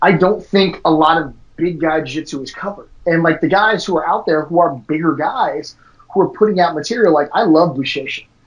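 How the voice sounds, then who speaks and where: High-pitched male speech with ordinary pitch variation. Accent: American. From Washington DC. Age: 40s. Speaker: jiu-jitsu academy owner. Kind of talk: casual interview chat.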